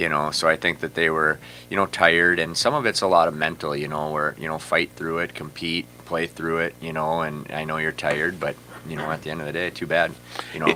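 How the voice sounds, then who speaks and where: Over noticeable background noise, a man speaks at a fairly quick pace in a very deep, low pitch with monotone, flat intonation. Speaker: high school hockey coach. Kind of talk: interview. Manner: loud.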